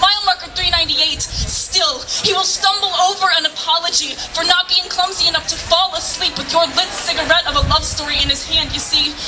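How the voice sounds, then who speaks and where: Over music in the background, a woman uses a raised, projected voice at an extremely high pitch, talking at a fairly quick pace with fairly even intonation and hardly any pauses. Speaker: slam poet. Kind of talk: slam poetry performance. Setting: live outdoor event.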